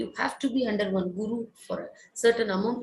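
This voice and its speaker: The speaker is somewhat breathy. The pace is fairly slow. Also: woman. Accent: Indian. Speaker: Carnatic classical vocalist. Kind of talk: interview Q&A. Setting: online live concert interaction.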